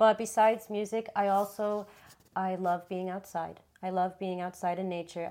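Her tone is dark and mellow. This woman speaks at a moderate pace with fairly even intonation. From Miami. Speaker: yoga teacher. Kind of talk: interview.

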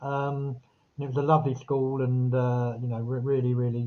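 A man's somewhat breathy, fairly high-pitched voice with a southern English accent, at a moderate pace. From Epsom, Surrey, England. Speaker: author and publisher. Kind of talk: interview.

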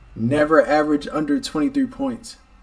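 A man with an American accent speaks with very wide pitch swings over noticeable background noise. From New York. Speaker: podcast host. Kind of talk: casual sports banter.

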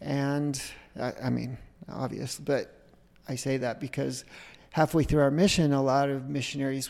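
Someone with a Utah accent talks at a moderate pace. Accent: American (Utah). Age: 50s. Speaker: entrepreneur and filmmaker. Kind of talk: interview testimony.

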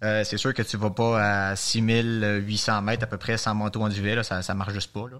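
With a Quebec accent, a man speaks at a fairly low pitch in monotone, flat intonation on a very clean recording with a silent background. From Quebec, Montreal. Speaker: mountaineer. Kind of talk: casual interview.

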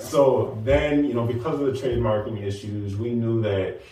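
A man talks with ordinary pitch variation. There is audible room echo and noticeable background noise. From Nashville. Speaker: app co-founder. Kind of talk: casual interview.

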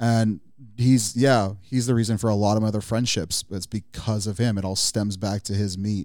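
On a very clean recording with a silent background, a man with a Californian accent speaks at a moderate pace, fairly low in pitch, with fairly even intonation. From Southern California, Pomona. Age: 30s. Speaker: car enthusiast. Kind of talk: casual chat. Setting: studio.

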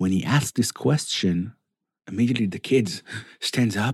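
Heard dry and close with no echo, a man speaks with an Israeli accent and lively intonation. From Israel (Netanya). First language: Hebrew. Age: 40s. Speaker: Torah teacher. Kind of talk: weekly Torah talk.

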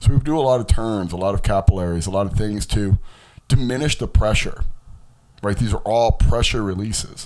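Speaking at a fairly quick pace, a man uses a normal speaking voice with a fairly low pitch and ordinary pitch variation. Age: 40s. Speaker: fitness and health podcast host. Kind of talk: educational lecture.

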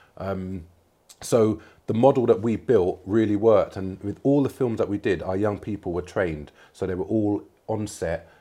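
The man's tone is dark and mellow, and his pace is moderate. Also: fairly low pitch for a man, ordinary pitch variation, quiet background. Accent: London. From North London. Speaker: film producer. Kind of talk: casual interview. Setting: studio.

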